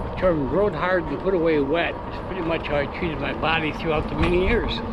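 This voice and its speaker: A man speaks at a fairly quick pace with a high pitch and a relaxed tone, his intonation fairly even. Noticeable background noise and audible room echo surround his voice. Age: 60s. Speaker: vlogger. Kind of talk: casual narration while riding. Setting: outdoors on an e-bike. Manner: relaxed, hesitant with fillers.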